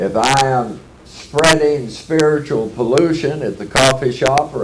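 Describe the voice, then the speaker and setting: A man with a Texas accent and ordinary pitch variation, over noticeable background noise with audible room echo. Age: 70s. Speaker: AA speaker. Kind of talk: workshop talk.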